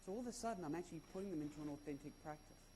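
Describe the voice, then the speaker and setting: This man has a dark, mellow tone and an Australian accent. His pitch swings very widely. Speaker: conference speaker, former schoolteacher. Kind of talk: conference talk. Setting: stage with audience.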